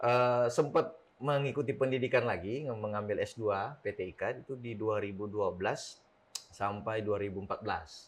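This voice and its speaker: At a moderate pace, a man with a Sulawesi accent speaks at medium pitch with ordinary pitch variation. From South Sulawesi, Bugis, Makassar. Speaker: district police chief. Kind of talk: casual interview.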